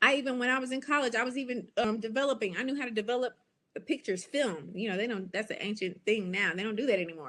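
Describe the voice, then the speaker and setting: A woman's fairly high, bright, sharp voice in an American accent, very fast, with ordinary pitch variation. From US. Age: 40s. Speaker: life and business coach. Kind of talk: live stream talk.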